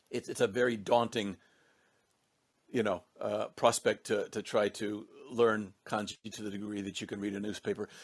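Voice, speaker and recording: Speaking at a moderate pace, a man with a fairly low pitch keeps a monotone, flat intonation while his loudness swings widely. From English-speaking country. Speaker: former corporate employee in Japan. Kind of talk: podcast discussion. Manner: halting, many repetitions.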